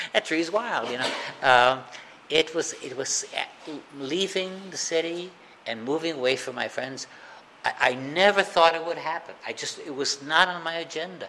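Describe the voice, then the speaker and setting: A man with a fairly high voice speaks in an American accent, leaving long, frequent pauses. Noticeable background noise runs underneath. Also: ordinary pitch variation, moderate pace. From US Midwest, Chicago. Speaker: recovering alcoholic speaker. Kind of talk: recovery meeting talk. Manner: halting.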